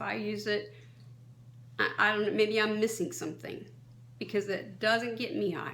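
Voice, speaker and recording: A woman at a moderate pace, with audible room echo. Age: 60s. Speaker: kratom advocate, vlogger. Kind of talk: advocacy monologue. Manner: impassioned.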